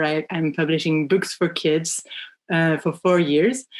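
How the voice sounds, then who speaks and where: A woman with a French accent talks at a moderate pace, her pitch fairly low with ordinary variation. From France. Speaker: children's book publisher. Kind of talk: podcast interview. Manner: halting, many fillers.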